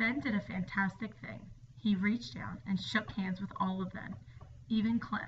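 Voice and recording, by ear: The intonation is fairly even as someone reads aloud in a natural voice.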